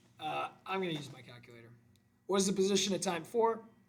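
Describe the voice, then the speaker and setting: Amid audible room echo, a man talks at a very fast pace in a high pitch, his tone animated, bright and sharp, with lively intonation. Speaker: math teacher. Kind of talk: tutorial. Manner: casual, animated.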